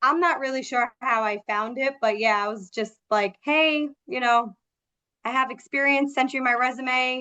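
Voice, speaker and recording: A woman with an American accent projects a raised, bright, sharp voice at a high pitch, with ordinary pitch variation and a moderate pace. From New York, Long Island (Suffolk County). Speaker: sales manager. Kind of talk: interview. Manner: loud; animated.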